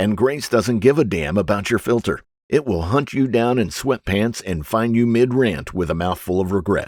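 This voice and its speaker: A man speaks at a moderate pace in a plain, everyday voice, fairly low-pitched with lively intonation, on a very clean recording with a silent background. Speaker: audiobook narrator. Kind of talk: audiobook narration.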